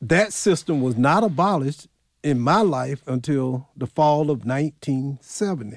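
Speaking at a moderate pace with lively intonation, a man with a Southern US accent has a fairly high pitch. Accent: Southern US (Georgia). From US South, rural Clarke County, Georgia. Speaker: county executive and historian. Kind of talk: interview.

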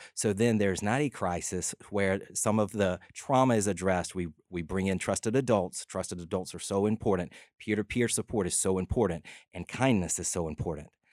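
Fast-ish and fairly low, a man speaks with a Southern US accent at a fairly quick pace. The sound is dry and close with no echo. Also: ordinary pitch variation, very clean recording, silent background. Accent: Southern American. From LaGrange, Georgia. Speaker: filmmaker and nonprofit founder. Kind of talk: radio interview. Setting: studio. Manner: animated.

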